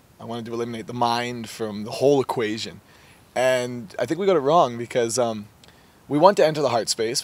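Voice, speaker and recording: The sound is dry with no echo. A man talks at a fairly quick pace. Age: 20s. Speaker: mindset coach. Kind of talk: casual interview. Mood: warm, earnest, reflective. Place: garden.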